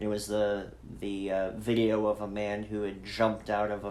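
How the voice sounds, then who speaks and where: A man's fairly low voice at a fairly slow pace, with fairly even intonation and audible room echo. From Idaho, US. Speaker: pastor. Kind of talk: personal testimony in a podcast chat. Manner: hesitant, many fillers.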